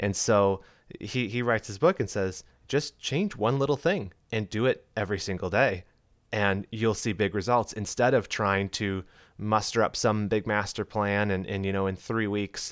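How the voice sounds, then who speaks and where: This man has an ordinary speaking voice, fairly low in pitch, with fairly even intonation at a moderate pace. The recording is very clean and the background silent. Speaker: podcast host. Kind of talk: casual chat.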